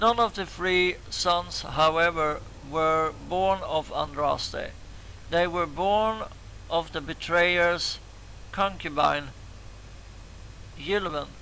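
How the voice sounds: A raspy man with a fairly high pitch and a bright, sharp tone talks at a slow pace, leaving long, frequent pauses. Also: ordinary pitch variation.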